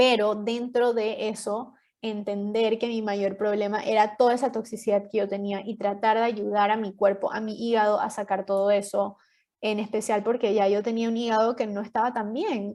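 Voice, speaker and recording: Her tone dark and mellow, a woman with a fairly high pitch speaks at a moderate pace in a monotone, flat intonation. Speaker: podcast guest sharing health story. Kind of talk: interview testimony. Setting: podcast.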